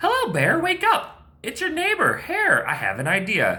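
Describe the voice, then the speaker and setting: Pitched extremely high, this put-on character voice goes along at a moderate pace. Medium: read story. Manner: persuasive.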